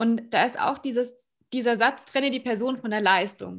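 A woman speaks at a moderate pace with fairly even intonation on a very clean recording with a silent background. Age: young. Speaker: podcast host and speaker. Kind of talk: interview.

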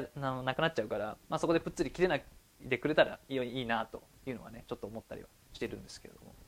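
Rushing at a very fast pace, a man speaks with big swings in loudness. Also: medium pitch for a man, ordinary pitch variation. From Japan, Chiba. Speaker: department store worker, podcast co-host. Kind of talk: casual chat.

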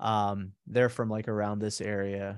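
An ordinary speaking voice from a man with an American accent, medium pitch and a moderate pace. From Pittsburgh, US. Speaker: musician and podcaster. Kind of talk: casual chat.

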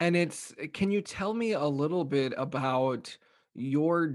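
Against a quiet background, a man with an unremarkable speaking voice talks at a fairly slow pace with ordinary pitch variation. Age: 20s. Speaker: podcast host and coach. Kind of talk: casual interview.

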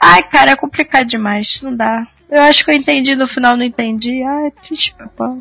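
Using a raised, projected voice, a woman talks at a moderate pace with high pitch and ordinary pitch variation, in a dry, close sound with no echo. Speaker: podcast co-host. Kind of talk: casual chat.

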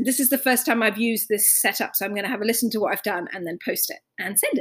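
With lively intonation and an ordinary speaking voice, a woman talks at a fairly quick pace and a fairly high pitch. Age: 30s. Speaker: podcast host speaking to a family member abroad. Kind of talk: casual monologue.

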